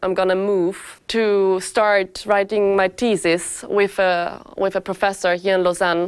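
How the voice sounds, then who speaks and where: In a German accent, a woman speaks fairly slowly at a medium pitch in a very clean recording with a silent background. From Austria. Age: 20s. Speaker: master's student in finance. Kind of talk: testimonial interview.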